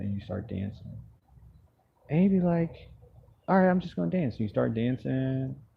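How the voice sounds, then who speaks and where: A man's somewhat breathy voice has a relaxed tone and very wide pitch swings. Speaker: live streamer. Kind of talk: casual live stream chat. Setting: outdoors. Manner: relaxed, sleepy-sounding.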